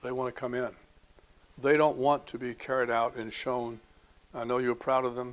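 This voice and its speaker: Pausing long and often, a man speaks at a moderate pace in a flat monotone. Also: medium pitch for a man. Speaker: psychiatrist. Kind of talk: informational presentation to families. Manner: even, unchanging tone; halting, with repetitions and fillers.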